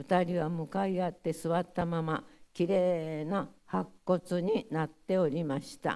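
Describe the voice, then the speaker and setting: Against a quiet background, a dark, mellow voice speaks with a Hiroshima accent. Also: woman. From Hiroshima, Japan; Japan. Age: 90s. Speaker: atomic bomb survivor. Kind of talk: testimony. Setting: audience of school pupils. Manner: halting. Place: hall. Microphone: podium.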